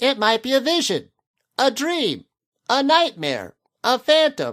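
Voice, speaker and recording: A put-on character voice with a high pitch goes at a fairly slow pace on a very clean recording with a silent background. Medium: read story. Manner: ruminative, wordy.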